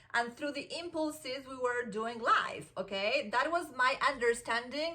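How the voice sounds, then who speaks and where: Noticeable noise sits behind this woman's voice. She keeps a moderate pace throughout. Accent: Argentine. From Argentina. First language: Spanish. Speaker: self-help vlogger. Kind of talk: casual motivational monologue. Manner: animated, conversational with many fillers.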